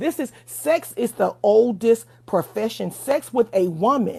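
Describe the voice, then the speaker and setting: Her voice fairly high in pitch and marked by vocal fry, a woman speaks at a fairly slow pace with lively intonation. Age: 40s. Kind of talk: livestream debate, opinionated talk.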